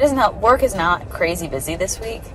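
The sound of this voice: With audible room echo, a woman at medium pitch talks at a fairly quick pace with lively intonation.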